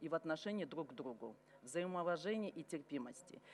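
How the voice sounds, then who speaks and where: Her pitch fairly low, a woman speaks at a moderate pace with lively intonation. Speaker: member of parliament. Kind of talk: formal speech to parliament. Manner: formal.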